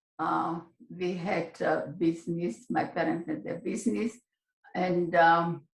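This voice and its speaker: The woman's voice sits fairly low and sounds somewhat breathy. She speaks at a very slow pace. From Slovakia, Košice. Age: 80s+. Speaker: Holocaust survivor. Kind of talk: interview. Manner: halting.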